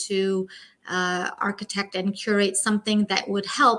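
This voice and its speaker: Using monotone, flat intonation, a woman speaks with a Pashto accent. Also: very clean recording, silent background. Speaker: linguist consultant. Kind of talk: business presentation.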